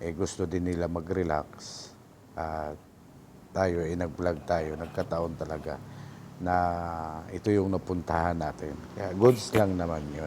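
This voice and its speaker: Fairly slow speech with long, frequent pauses, a dark, mellow tone and fairly even intonation. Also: man, very deep, low pitch for a man. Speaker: moto-camping vlogger. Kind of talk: vlog voice-over narration. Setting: beach campsite voice-over.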